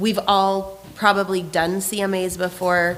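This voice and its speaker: A woman talks at a medium pitch while noticeable background noise carries on. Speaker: real estate team trainer. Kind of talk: training class. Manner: casual, many fillers.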